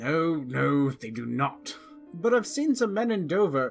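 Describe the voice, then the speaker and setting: This man puts on a character voice, pitched fairly high for a man. He talks at a fairly slow pace over faint background music. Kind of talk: dramatic reading, character dialogue.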